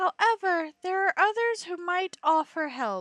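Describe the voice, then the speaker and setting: In a put-on character voice, a woman speaks at an extremely high pitch, squeaky, with ordinary pitch variation and a moderate pace. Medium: game stream. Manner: calm, measured.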